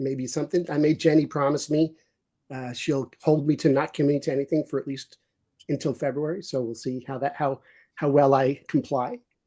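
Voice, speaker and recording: A man with a New York accent speaks at a fairly high pitch and a moderate pace, his intonation fairly even. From New York City. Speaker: business executive stepping away from work. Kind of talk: casual chat. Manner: halting, many repeated words.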